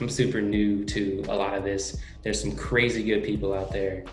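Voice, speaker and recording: A man with an American accent talks at a moderate pace in a fairly low pitch. Music plays in the background, and the room echo is audible. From California, Oakland. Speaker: sports team content creator. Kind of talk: podcast interview. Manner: animated.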